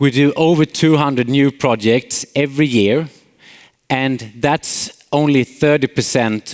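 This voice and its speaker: The speaker has a Swedish accent, recorded with a dry, close sound and no echo. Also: man. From Sweden, Småland. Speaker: company CEO, conference speaker. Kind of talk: conference talk. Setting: stage with audience. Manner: frequent filler hesitations.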